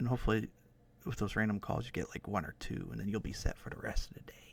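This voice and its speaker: The voice is a whisper. It moves at a very fast pace. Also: man. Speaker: ASMR streamer. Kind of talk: casual live-stream chat. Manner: halting, stuttering; soft-spoken.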